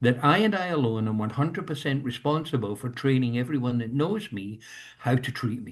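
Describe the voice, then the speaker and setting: A man with a medium-pitched, somewhat breathy voice is speaking. His pace is fairly quick and his intonation lively. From Scotland. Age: 70s. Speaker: leadership coach, industrial psychologist. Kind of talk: talk on leadership. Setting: video call.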